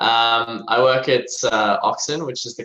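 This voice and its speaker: This man speaks with an Australian accent. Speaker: tech company executive. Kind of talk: podcast interview.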